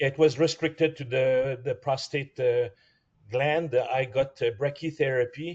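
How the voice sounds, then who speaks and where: Here a man talks at a fairly slow pace with fairly even intonation. His voice is somewhat breathy and fairly high in pitch. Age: 60s. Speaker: prostate cancer patient. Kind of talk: support group sharing. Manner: halting.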